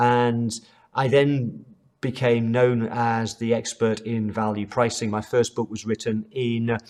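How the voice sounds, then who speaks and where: A man with a British accent, his pitch in the middle range. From UK. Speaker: accounting trainer. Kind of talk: online course lecture.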